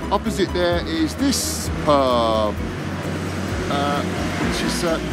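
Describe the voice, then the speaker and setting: A man speaks over music in the background. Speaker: pub crawl guide. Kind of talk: casual vlog chat. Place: street. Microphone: phone near.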